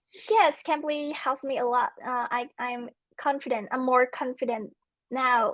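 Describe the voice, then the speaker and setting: A woman with a Vietnamese accent speaks at a fairly slow pace in a high voice, her intonation fairly even, against a quiet background. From Vietnam, Ho Chi Minh City. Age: 20s. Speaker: English learner. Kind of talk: casual chat. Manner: halting.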